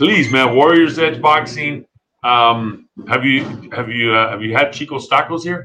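This man has a plain, everyday voice with a medium pitch. He talks at a fairly slow pace, and his pitch varies in an ordinary way. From Texas (El Paso). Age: 40s. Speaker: podcast host. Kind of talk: casual interview. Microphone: bad internet connection.

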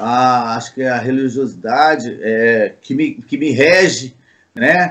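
His intonation is lively. The man speaks at a very slow pace. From Minas Gerais, Brazil (Uberaba). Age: 50s. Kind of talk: interview. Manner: halting, with many repetitions.

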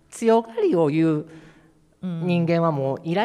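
This man's voice sits fairly high in pitch and carries a dark, mellow tone. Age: 50s. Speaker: city council member and LGBTQ advocate. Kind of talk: panel discussion. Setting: public hall with audience.

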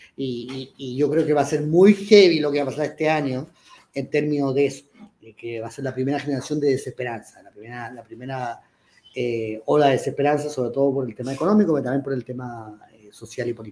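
Talking at a very fast pace, a man with a medium pitch uses ordinary pitch variation and big swings in loudness. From Chile. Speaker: writer and columnist. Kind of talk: live panel discussion. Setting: stage with audience.

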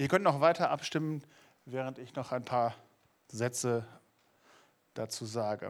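A man speaks in an animated tone at a fairly slow pace, with long, frequent pauses and big swings in loudness. His pitch varies in an ordinary way, and the recording is very clean with a silent background. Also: medium pitch for a man. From Lower Saxony, Germany. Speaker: youth preacher. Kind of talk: sermon.

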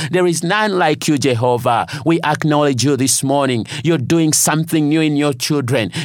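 A man's passionate voice at a fairly high pitch, moderate pace and ordinary pitch variation, with very even loudness, hardly any pauses and noticeable background noise. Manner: earnest, declaring, rhythmic repetition; passionate, rising intensity.

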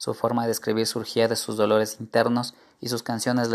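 This reading is delivered in a natural voice.

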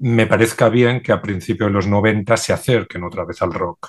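A man with a normal speaking voice, fairly low in pitch, fairly even intonation, against a quiet background. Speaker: DJ and record collector. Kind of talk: panel discussion.

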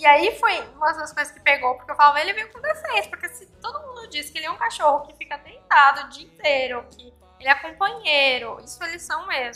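A woman with a high pitch speaks at a very fast pace in a raised, projected voice with a bright, sharp tone. Her pitch swings very wide and her loudness swings a lot. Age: 30s. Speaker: pet influencer and podcaster. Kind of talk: interview chat. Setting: guesthouse.

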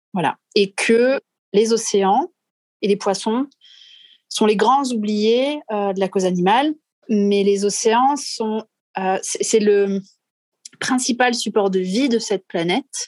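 Speaking at a very slow pace with long, frequent pauses, a woman has a fairly high pitch, recorded dry and close with no echo. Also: ordinary pitch variation. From southwest France. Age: 30s. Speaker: marine conservation activist. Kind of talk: interview conversation. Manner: hesitant, many fillers.

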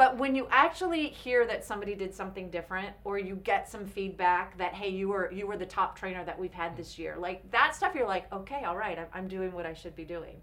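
Delivered in a Californian accent with hardly any pauses, the speech shows big swings in loudness. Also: woman, medium pitch for a woman, ordinary pitch variation, fairly quick pace. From Orange County, California. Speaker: speaker and employee development coach. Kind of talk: interview.

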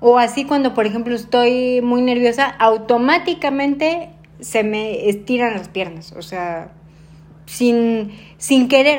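At a fairly slow pace, a woman speaks in a normal speaking voice with a fairly high pitch and ordinary pitch variation. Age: 30s. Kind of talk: interview. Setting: at her home.

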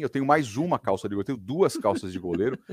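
The voice swings very widely in pitch, captured in a very clean recording with a silent background and a dry, close sound with no echo. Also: man. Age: 50s. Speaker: radio broadcaster. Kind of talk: casual chat.

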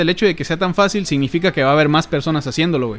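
A man with a Mexican accent and lively intonation. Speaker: youtuber and podcast co-host. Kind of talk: casual chat. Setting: home, sitting on a bed at a computer.

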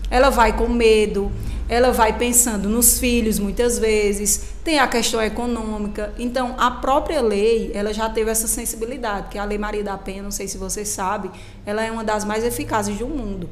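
Amid noticeable background noise and audible room echo, a woman speaks at a moderate pace with fairly high pitch and fairly even intonation. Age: 20s. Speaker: lawyer. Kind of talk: radio interview.

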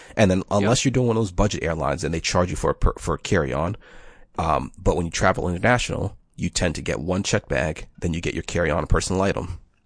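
Speaking at a very fast pace, a man uses a very deep, low pitch with vocal fry and ordinary pitch variation. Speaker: podcast co-host. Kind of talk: casual chat.

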